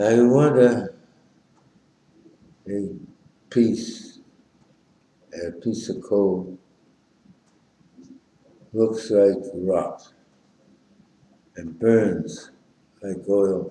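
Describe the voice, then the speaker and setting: A dark, mellow voice moves at a very slow pace with long, frequent pauses and big swings in loudness. Pitch varies in an ordinary way, and room echo is audible. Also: man, fairly low pitch for a man. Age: 90s. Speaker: amateur poet. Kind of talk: poetry reading. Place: home room. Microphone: webcam.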